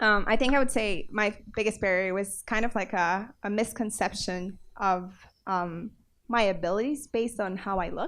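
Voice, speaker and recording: A woman with a non-native accent at a moderate pace and medium pitch. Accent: foreign. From South America. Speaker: tech panelist. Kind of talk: panel discussion.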